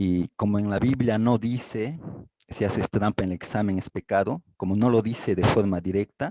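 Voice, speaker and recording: Dry and close with no echo, the sound carries a man's fairly low voice with a dark, mellow tone. He keeps a moderate pace with ordinary pitch variation. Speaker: class participant. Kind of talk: testimony in class discussion.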